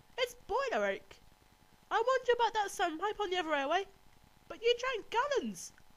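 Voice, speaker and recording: Using a put-on character voice, a woman squeaks at an extremely high pitch, speaking at a fairly quick pace broken by long, frequent pauses. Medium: read story. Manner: bright, innocent-sounding.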